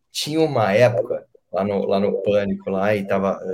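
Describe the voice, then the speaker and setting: A man speaks in a somewhat breathy voice. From São Paulo interior, Brazil (Penápolis). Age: 30s. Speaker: radio host and comedian. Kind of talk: casual interview.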